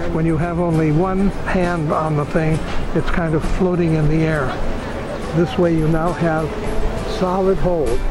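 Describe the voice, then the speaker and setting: A man talks at a fairly slow pace, leaving long, frequent pauses. Noticeable background noise runs under his voice. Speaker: inventor. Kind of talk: product demonstration to camera. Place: waterside. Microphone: phone near.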